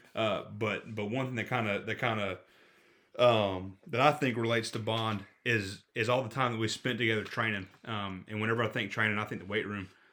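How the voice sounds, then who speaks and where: On a very clean recording with a silent background, a man with a Southern US accent speaks fairly quickly at medium pitch, his intonation fairly even and his tone bright and sharp. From Florida panhandle. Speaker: football coach. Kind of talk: casual chat. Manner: halting.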